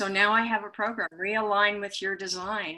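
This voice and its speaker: With an American accent, a woman talks in a bright, sharp tone and a monotone, flat intonation. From US Midwest, western Kansas. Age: 80s+. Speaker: coach and guest. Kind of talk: interview conversation.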